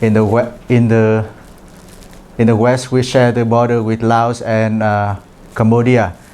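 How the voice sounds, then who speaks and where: A dark, mellow tone with a Vietnamese accent, fairly slow pace, long, frequent pauses, very even loudness and monotone, flat intonation. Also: man, medium pitch for a man. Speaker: international trainee presenter. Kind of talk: presentation. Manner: halting, many fillers.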